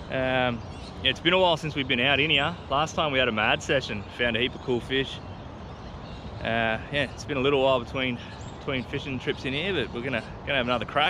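Very fast and with ordinary pitch variation, a man speaks in a dry sound with no echo against noticeable background noise. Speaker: fishing vlogger. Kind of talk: casual vlog chat. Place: boat. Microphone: phone near.

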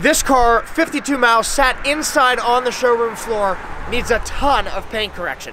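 The voice is raised and projected, with ordinary pitch variation. The sound is dry with no echo, over light background noise. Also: man. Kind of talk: casual explainer to camera. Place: street.

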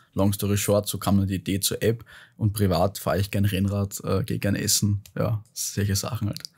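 A man speaks with fairly even intonation and a somewhat breathy voice. The recording is very clean, with a silent background. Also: fairly low pitch for a man, moderate pace. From Austria, Vienna. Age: 20s. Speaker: startup founder and author. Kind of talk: interview conversation. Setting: podcast studio.

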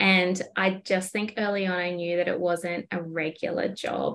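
Here a woman speaks with an Australian accent. Her voice sits at a medium pitch. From far north Queensland, Australia. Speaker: small business owner. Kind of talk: casual interview chat.

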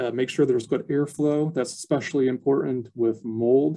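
The tone is dark and mellow. A man is the one talking. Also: quiet background. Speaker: archivist. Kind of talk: educational webinar presentation. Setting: video call. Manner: frequent filler words, somewhat halting. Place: office. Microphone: webcam.

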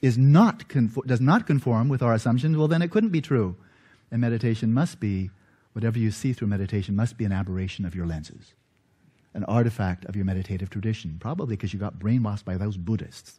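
A man with a dark, mellow tone talks at a very fast pace, his voice somewhat breathy. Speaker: lecturer. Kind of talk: lecture. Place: church.

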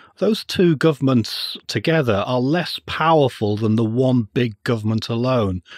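A man with an English accent, medium pitch, lively intonation and a moderate pace, in a dry, close sound with no echo. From England. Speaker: finance lecturer and libertarian writer. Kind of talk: interview.

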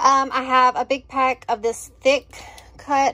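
This woman talks in a high-pitched voice. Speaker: home vlogger. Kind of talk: casual vlog chat. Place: kitchen. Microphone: phone near.

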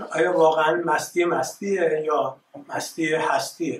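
Recorded with light background noise and audible room echo, a man speaks at a fairly slow pace in a high pitch. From Iran, Tehran. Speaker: artist. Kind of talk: presentation. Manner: halting. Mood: reflective, reminiscing. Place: hall. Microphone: camera far.

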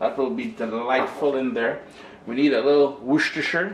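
The speaker is a man. There's light background noise and audible room echo. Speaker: recipe host. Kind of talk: cooking tutorial. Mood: playful, chatty. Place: kitchen.

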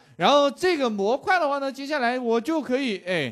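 This voice belongs to a man. Its pitch swings very widely. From China, Changsha (Hunan). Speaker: programming teacher. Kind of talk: live online coding class. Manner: animated, chatty with fillers.

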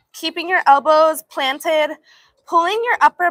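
With an American accent, a woman speaks in a raised, projected voice at a moderate pace. Her tone is upbeat, warm, bright, and sharp, with lively intonation. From Los Angeles, California. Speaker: yoga instructor. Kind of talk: live-streamed guided yoga class, cueing poses and counting reps. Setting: live stream to online viewers. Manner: upbeat, warm and encouraging, with energetic 'woo' exclamations during effort; brisk, clear, rhythmic cueing in short commands. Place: garden.

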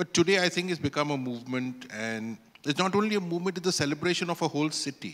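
A man at a fairly quick pace. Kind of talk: press conference answer. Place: hall. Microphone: handheld.

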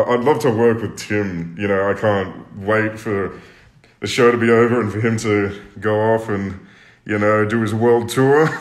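A man with a fairly low voice speaks at a fairly slow pace against a quiet background, with audible room echo. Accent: Australian. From Australia. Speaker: singer, talent show contestant. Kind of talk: casual livestream chat. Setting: social media live stream. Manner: laughs a lot, animated. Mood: cheerful, relaxed. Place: home room. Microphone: phone near.

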